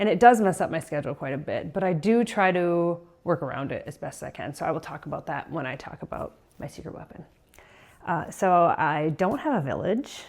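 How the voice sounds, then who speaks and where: With a normal speaking voice, a woman talks at a fairly quick pace, her fairly low pitch carrying lively intonation and big swings in loudness. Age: 40s. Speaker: vlogger, working mom and weightlifter. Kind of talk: casual vlog talk to camera. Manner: casual with fillers and self-corrections.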